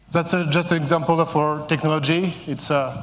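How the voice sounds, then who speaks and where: A man's high-pitched voice with a French accent and monotone, flat intonation, plus audible room echo. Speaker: company CEO. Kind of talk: conference presentation. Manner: halting, many fillers.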